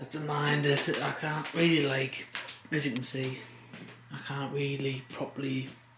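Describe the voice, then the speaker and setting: Monotone, flat intonation at a fairly slow pace, with audible room echo and noticeable background noise. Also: man. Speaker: vlogger. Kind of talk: casual vlog. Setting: basement room, then outdoors. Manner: whispering a bit; casual, filler-heavy.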